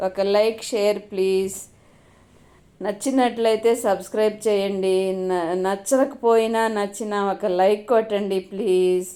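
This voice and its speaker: With a dark, mellow tone, a woman speaks in a monotone with flat intonation. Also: medium pitch for a woman. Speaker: home cooking and gardening vlogger. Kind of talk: casual vlog narration. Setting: at home, some outdoor garden footage. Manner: chatty, conversational.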